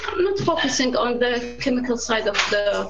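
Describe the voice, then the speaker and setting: A woman with a strong Arabic accent at a moderate pace, amid noticeable background noise and audible room echo. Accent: thick Arabic. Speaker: food scientist. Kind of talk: casual chat. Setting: video call. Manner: halting, many hesitations.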